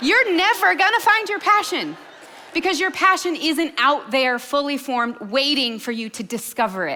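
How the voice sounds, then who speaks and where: Over noticeable background noise, a woman speaks at a moderate pace in a high, raised and projected voice, her enthusiastic tone marked by very wide pitch swings. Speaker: entrepreneur and keynote speaker. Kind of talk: keynote speech. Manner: high energy, enthusiastic.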